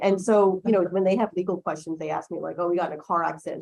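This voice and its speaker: Vocal fry runs through this woman's speech, which has ordinary pitch variation. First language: Chinese. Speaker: lawyer. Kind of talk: panel discussion. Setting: lecture room with audience, livestreamed.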